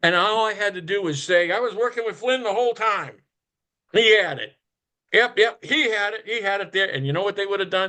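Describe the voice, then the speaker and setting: Over a quiet background, a man projects a raised, high voice with a bright, sharp tone. He talks at a fairly quick pace, with ordinary pitch variation. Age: 60s. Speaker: whistleblower. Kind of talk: casual chat. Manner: animated.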